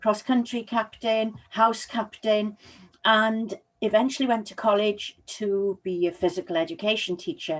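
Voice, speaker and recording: In a very clean recording with a silent background, a woman with a Welsh accent speaks at a fairly slow pace and a fairly high pitch. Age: 60s. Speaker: public speaking coach. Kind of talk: motivational talk. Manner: energetic.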